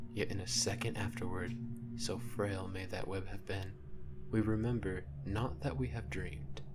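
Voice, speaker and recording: A man speaks at a moderate pace with lively intonation and a fairly low pitch. Noticeable background noise sits behind his voice. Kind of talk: ASMR whispered story reading; literary narration of a classic short story. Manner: whispered, soft-spoken.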